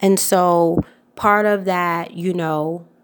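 A woman's fairly low voice with an American accent and ordinary pitch variation, on a very clean recording with a silent background. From US South, Atlanta, Georgia. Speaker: wardrobe stylist and podcast host. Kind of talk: solo tips podcast monologue. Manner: casual, many filler words.

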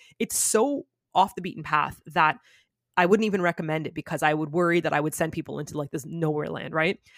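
Very fast speech comes from a woman with a very deep, low pitch and ordinary pitch variation. The sound is dry and close, with no echo. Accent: Canadian. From Canada (Toronto). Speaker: YouTuber. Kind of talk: casual chat. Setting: video call.

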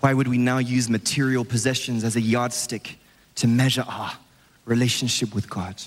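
At a moderate pace, a man talks at a medium pitch. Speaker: evangelist preacher. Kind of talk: sermon. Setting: church with congregation. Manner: animated.

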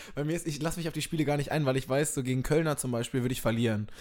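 A man at a fairly high pitch, very fast, with ordinary pitch variation. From East Westphalia (Minden), Germany. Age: young. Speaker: comedian. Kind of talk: casual chat.

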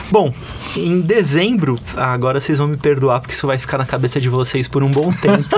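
A man speaks at a fairly quick pace in a fairly high pitch, with noticeable background noise behind him. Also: ordinary pitch variation. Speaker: podcast host. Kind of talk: casual chat.

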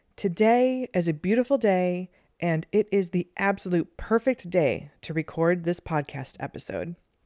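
Over a very clean recording with a silent background, a woman speaks at a moderate pace with hardly any pauses. Her fairly low voice has a dark, mellow tone and lively intonation, with a dry, close sound and no echo. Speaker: meditation podcast host. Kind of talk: guided meditation. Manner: soft-spoken.

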